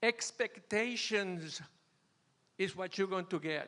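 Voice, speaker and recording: Raised and projected, a man's high-pitched voice carries a bright, sharp tone at a very slow pace. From Venezuela. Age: 80s+. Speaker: retired churchgoer sharing marriage advice. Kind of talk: testimony. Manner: halting.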